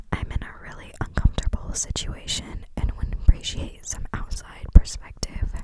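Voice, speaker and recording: Whispering at a moderate pace with hardly any pauses, the voice is heard over noticeable background noise. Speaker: ASMR creator. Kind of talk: ASMR reading of online forum posts. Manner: whispered.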